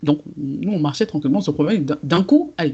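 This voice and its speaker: A woman speaks at a fairly quick pace in a very deep, low pitch. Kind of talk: casual podcast conversation.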